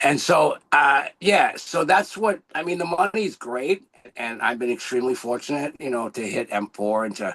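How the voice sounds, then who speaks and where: At a moderate pace, the speaker's pitch swings very widely, in a dry, close sound with no echo. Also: man, fairly high pitch for a man. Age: 60s. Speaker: network marketing coach, former acupuncturist. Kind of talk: motivational testimony on a business call. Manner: animated, enthusiastic.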